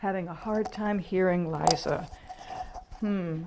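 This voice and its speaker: A quiet woman's voice amid noticeable background noise. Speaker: minister leading online spiritual gathering. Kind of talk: teaching talk in casual video call.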